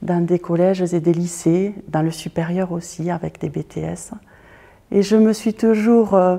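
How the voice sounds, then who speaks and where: A woman speaks at a fairly slow pace in a dark, mellow tone, her intonation staying fairly even. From southern France, Toulouse. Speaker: artist and fashion designer, former teacher. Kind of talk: interview monologue. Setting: art school building with glass roof. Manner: hesitant, many filler sounds.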